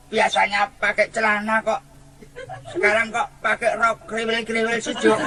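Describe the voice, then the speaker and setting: A man does a put-on character voice, high-pitched, raised and projected. He keeps a moderate pace and fairly even intonation. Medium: stage play. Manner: bumbling, tongue-tied.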